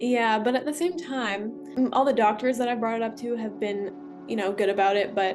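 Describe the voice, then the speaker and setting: A woman's voice with ordinary pitch variation over background music. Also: fairly high pitch for a woman, moderate pace. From Ontario, Canada. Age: young. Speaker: trauma awareness advocate. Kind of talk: interview answer.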